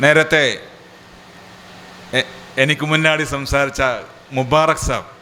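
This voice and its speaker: Against noticeable background noise, a man speaks at a fairly slow pace with long, frequent pauses. His fairly high pitch carries a monotone, flat intonation. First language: Malayalam. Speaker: organisation leader. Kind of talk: public speech.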